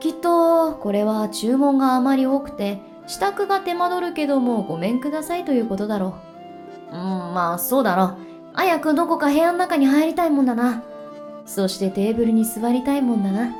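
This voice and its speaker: Backed by music, this voice rises and falls in very wide pitch swings while keeping a moderate pace. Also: woman, high pitch for a woman. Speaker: virtual streamer. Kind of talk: bedtime story reading.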